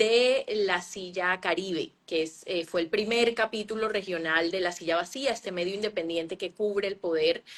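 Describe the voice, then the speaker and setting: Here a woman speaks at a fairly slow pace. Her pitch is medium, with ordinary variation. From Colombian Caribbean coast, Cartagena. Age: 40s. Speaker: journalist and author. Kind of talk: interview. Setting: Instagram live stream. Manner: hesitant, many fillers.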